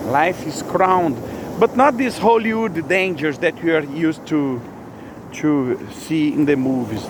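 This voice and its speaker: A Brazilian Portuguese accent comes through at a moderate pace. Noticeable background noise sits behind the speech. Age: 50s. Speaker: religious vlogger. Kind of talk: spontaneous spiritual monologue. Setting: outdoors. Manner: halting.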